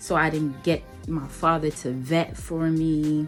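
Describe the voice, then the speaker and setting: Very deep and low, a woman's voice moves at a very slow pace. Music plays in the background. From Nigeria. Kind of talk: casual talk to camera.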